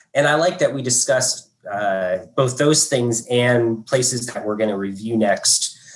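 Here is a man with an American accent talking at a moderate pace. He has a plain, everyday voice. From southern Indiana, US. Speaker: food critic. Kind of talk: panel talk. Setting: video call.

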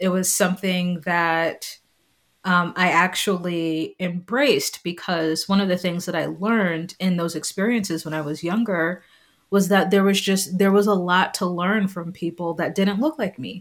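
This is an ordinary speaking voice at a moderate pace. Its intonation stays fairly even. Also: woman, medium pitch for a woman, very clean recording, silent background. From New York City, Staten Island. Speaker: university alumna, mother. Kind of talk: interview, personal testimony.

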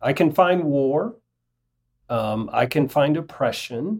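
This man, with an unremarkable speaking voice and ordinary pitch variation, takes a fairly slow pace on a very clean recording with a silent background. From US South, rural North Alabama. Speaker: bishop. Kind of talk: interview.

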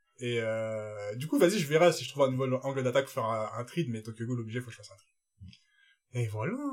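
A man speaks very fast at a medium pitch, his loudness swinging widely while his pitch varies in an ordinary way. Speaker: podcast co-host. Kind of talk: casual chat. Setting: studio.

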